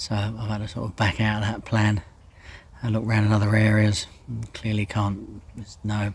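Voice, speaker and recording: His voice is fairly low in pitch and somewhat breathy. The man's intonation stays monotone and flat. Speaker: angler vlogger. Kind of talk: casual vlog narration. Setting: outdoors by a lake. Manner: hesitant, filler-heavy.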